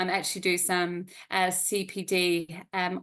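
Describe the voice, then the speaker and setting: In a New Zealand accent, a woman speaks at a medium pitch. The background is quiet. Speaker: yoga teacher. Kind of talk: interview.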